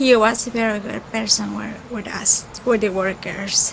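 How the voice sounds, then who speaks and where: With a Spanish accent, a woman speaks at a very slow pace and a fairly high pitch. There is noticeable background noise. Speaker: caterer's worker. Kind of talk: memorial tribute.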